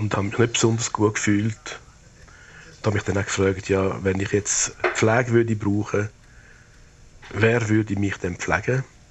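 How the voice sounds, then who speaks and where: Keeping a moderate pace with long, frequent pauses, a man with a fairly low pitch talks in a monotone, flat intonation. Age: 70s. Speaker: retired public health official. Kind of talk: personal audio diary.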